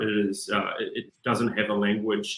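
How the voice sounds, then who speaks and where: A man speaks with a New Zealand accent at a fairly low pitch. His pace is moderate. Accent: New Zealand (Kiwi). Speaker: business executive. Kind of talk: interview.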